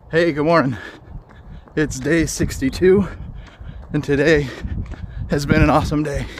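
A man talks at a fairly slow pace with ordinary pitch variation. Light background noise is present, and the sound is dry with no echo. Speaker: fitness vlogger. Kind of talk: casual vlog chat. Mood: upbeat, reflective. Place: street. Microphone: phone near.

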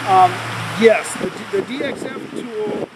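Loud background noise surrounds a man speaking with ordinary pitch variation. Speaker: interview guest. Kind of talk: interview answer. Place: waterside.

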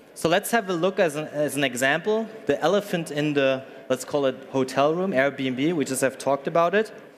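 A man's fairly high-pitched voice at a moderate pace, hardly any pauses, ordinary pitch variation and light background noise. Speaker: startup co-founder and executive. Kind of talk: conference presentation. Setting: stage with audience. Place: hall.

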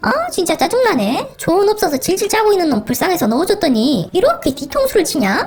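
This cartoonish character voice sounds female, pitched extremely high with very wide swings in pitch. It moves at a fairly quick pace over clear background noise. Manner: annoyed, demanding.

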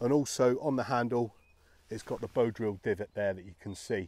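The voice has a dark, mellow tone and ordinary pitch variation at a fairly quick pace, recorded dry with no echo. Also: man. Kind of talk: gear review talk-through. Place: forest. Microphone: phone near.

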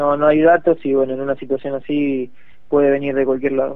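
This man's pitch is fairly high. He talks at a fairly quick pace. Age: 20s. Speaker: local politician. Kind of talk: radio interview.

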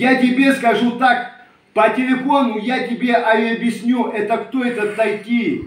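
A very slow, monotone delivery with flat intonation and audible room echo. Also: man, extremely high pitch for a man. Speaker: Romani community video blogger. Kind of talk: video address to a rival. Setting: self-recorded video. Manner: heated, confrontational. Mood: aggrieved, indignant. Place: home room. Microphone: phone near.

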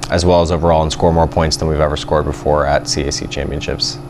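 Against noticeable background noise, a man talks at a very fast pace with fairly even intonation. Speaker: swim coach. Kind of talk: interview answer.

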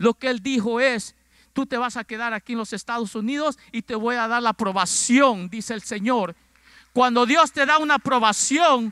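With a raised, projected voice, a man speaks at an extremely high pitch in a bright, sharp tone, using ordinary pitch variation at a moderate pace in a dry sound with no echo. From Ecuador. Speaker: pastor. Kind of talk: sermon. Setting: church. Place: church. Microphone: handheld.

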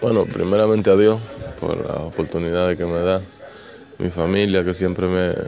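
Music plays in the background as a man speaks in a very deep, low pitch with fairly even intonation. His pace is moderate, with long, frequent pauses. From Dominican Republic. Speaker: professional baseball outfielder. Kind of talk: interview answer. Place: stadium. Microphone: handheld.

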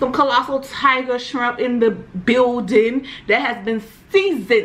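A woman talks at a fairly slow pace in a high pitch. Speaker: mukbang host. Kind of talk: casual vlog chat. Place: home room.

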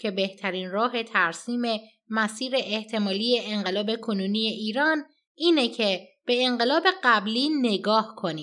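An unremarkable speaking voice comes at a moderate pace in a very clean recording with a silent background. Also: woman. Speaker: political news commentator. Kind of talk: news commentary.

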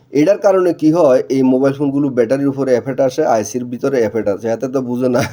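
The man's voice sits at a medium pitch and varies in an ordinary way. Behind him, background noise is noticeable. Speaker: mobile phone repair technician. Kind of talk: repair tutorial. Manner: casual, conversational.

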